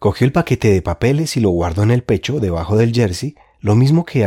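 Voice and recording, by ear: The voice reads aloud naturally. Its intonation rises and falls in a lively way.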